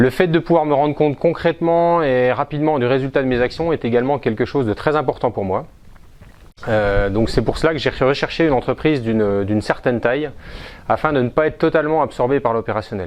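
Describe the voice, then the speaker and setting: Here a man speaks at a fairly quick pace. His pitch is medium and varies in an ordinary way. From France, Besançon. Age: 40s. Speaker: entrepreneur, business owner. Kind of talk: self-presentation interview. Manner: hesitant, with frequent fillers.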